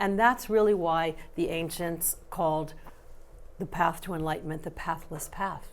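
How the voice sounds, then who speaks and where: A woman in an unremarkable speaking voice talks at a moderate pace and fairly low pitch, with ordinary pitch variation and big swings in loudness. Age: 60s. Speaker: personal growth author and teacher. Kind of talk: interview.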